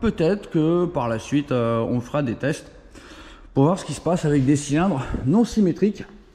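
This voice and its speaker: A man's dark, mellow voice, fairly high in pitch, with lively intonation and a moderate pace. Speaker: moped tuning youtuber and shop owner. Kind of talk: casual vlog, technical testing. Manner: playful, plays with his voice. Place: garage. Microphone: phone near.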